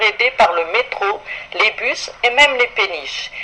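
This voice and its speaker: Through noticeable background noise, a woman speaks with lively intonation. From France, Paris. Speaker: radio columnist. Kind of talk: radio chronicle, scripted travel narration. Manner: formal.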